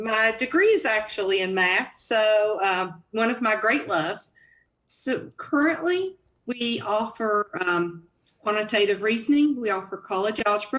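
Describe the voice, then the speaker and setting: A woman's bright, sharp voice with a Southern US accent, fairly high in pitch with ordinary variation, at a fairly slow pace. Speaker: college dean. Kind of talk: live Q&A answer.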